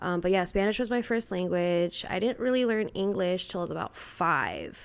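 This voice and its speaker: Here is a woman with a plain, everyday voice at medium pitch. She talks at a moderate pace with ordinary pitch variation. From Texas, Houston and Brownwood. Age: 20s. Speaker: podcast guest, bartender. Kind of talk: casual chat.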